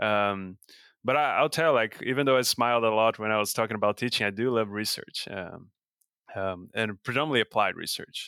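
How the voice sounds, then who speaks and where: In a Brazilian accent, a man speaks at a fairly quick pace with a bright, sharp tone, medium pitch and ordinary pitch variation, the sound dry and close with no echo. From Brazil, São Paulo state. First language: Portuguese. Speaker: professor and beef cattle researcher. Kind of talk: interview. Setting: video call.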